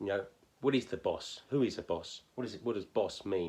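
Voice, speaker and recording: A man with a medium-pitched voice, a southern English accent and ordinary pitch variation. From southern England. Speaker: phonics teacher. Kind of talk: tutorial. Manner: hesitant, many fillers.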